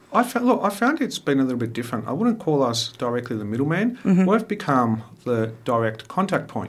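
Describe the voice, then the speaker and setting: A man with an Australian accent, fairly high-pitched, talking at a very fast pace with very wide pitch swings. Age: 40s. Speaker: mayor. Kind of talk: radio interview. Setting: radio studio.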